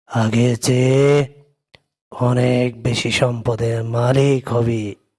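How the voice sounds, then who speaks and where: This man uses a cartoonish character voice at a medium pitch. He speaks very slowly with monotone, flat intonation. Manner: stern, preachy, uses intimate "tui" address.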